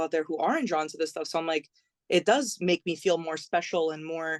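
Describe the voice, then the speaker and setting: A woman with an American accent at a fairly quick pace, the sound dry and close with no echo. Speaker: singer and songwriter. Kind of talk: podcast interview. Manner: fast.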